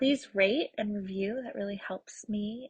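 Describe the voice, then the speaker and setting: A woman speaks at a medium pitch in a somewhat breathy voice. The sound is dry and close, with no echo. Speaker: podcast host. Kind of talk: solo podcast monologue. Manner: slow.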